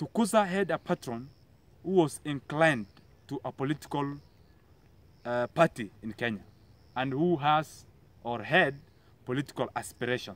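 Long, frequent pauses break up speech at a moderate pace, with a dry sound and no echo. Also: man, lively intonation. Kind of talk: speech to camera about achievements. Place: garden.

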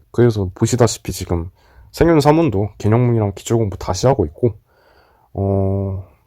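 In a very clean recording with a silent background, a man speaks at a moderate pace with long, frequent pauses. His voice is fairly low and dark and mellow in tone, with ordinary pitch variation. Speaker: exam-retake student vlogger. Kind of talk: casual vlog talk to camera.

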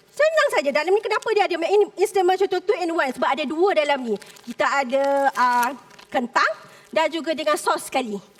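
High-pitched woman at a fairly quick pace, with very wide pitch swings and noticeable background noise. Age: 40s. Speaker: food entrepreneur contestant. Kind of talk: pitch to judges on reality show. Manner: halting.

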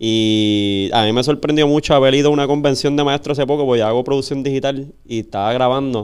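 With fairly even intonation, a man talks very fast over a quiet background. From Puerto Rico. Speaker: podcast host. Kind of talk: interview. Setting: studio. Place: studio. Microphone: studio mic.

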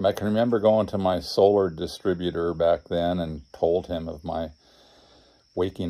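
A man's very deep, low voice with a dark, mellow tone, fairly even intonation and a fairly slow pace. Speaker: off-grid solar vlogger. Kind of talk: casual vlog storytelling. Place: home room. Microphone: phone near.

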